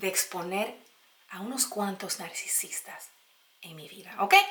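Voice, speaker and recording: A woman talks very slowly, her pitch swinging very widely, while noticeable noise sits in the background. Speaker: YouTuber sharing personal experience. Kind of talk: casual vlog advice talk.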